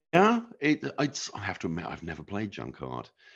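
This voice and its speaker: A man speaks with a British accent. Behind him, the background stays quiet. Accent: BBC English. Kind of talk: interview.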